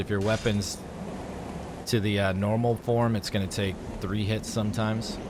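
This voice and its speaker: Over noticeable background noise, a man with a medium-pitched voice talks at a moderate pace. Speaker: gaming YouTuber. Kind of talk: gameplay walkthrough commentary. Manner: louder than usual.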